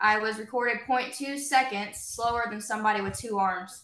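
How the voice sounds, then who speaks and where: A woman with an American accent, fairly high in pitch, at a moderate pace, with fairly even intonation and audible room echo. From southern Indiana, US. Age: 20s. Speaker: former college softball player. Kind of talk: interview.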